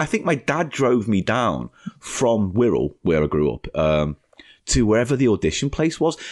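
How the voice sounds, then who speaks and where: A man's medium-pitched voice with vocal fry and very wide pitch swings, at a moderate pace, in a dry, close sound with no echo. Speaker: former game show contestant and games journalist. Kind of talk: interview.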